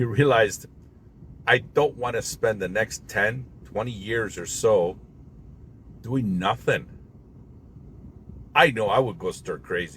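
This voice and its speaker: A man is speaking. His pace is fairly slow. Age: 60s. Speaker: motivational vlogger. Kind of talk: personal monologue to camera.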